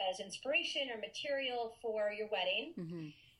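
With noticeable background noise behind her, a woman speaks fairly quickly in a fairly high voice with ordinary pitch variation. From Maine. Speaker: wedding officiant. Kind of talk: casual interview.

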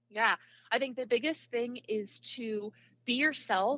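Using a plain, everyday voice, a woman speaks at a fairly slow pace and a fairly high pitch with ordinary pitch variation. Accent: American. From US Midwest, Iowa. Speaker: communication professor and influencer researcher. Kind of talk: interview.

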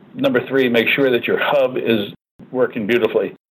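This man has a plain, everyday voice at a medium pitch. He talks at a fairly quick pace with fairly even intonation. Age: 50s. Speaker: real estate team leader. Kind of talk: interview.

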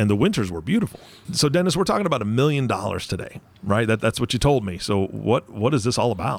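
A man talking very fast at medium pitch, with very wide pitch swings and noticeable background noise. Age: 40s. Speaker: podcast co-host. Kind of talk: casual chat.

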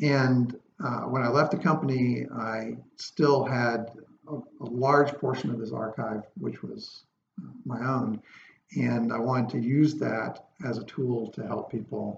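A man with an American accent and a normal speaking voice talks at a fairly slow pace, medium in pitch with ordinary pitch variation. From US South, coastal North Carolina. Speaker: preservation designer and company owner. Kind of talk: interview.

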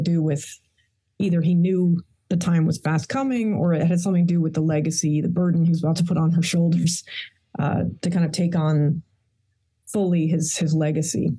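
Speaking at a fairly quick pace, a woman has a normal speaking voice, fairly low pitch and ordinary pitch variation. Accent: American. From Queens, New York. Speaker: historian and author. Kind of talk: interview.

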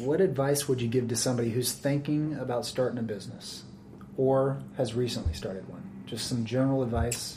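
A man talks with ordinary pitch variation at a medium pitch. Noticeable background noise sits underneath. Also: fairly quick pace. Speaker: podcast host. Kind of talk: interview, podcast intro.

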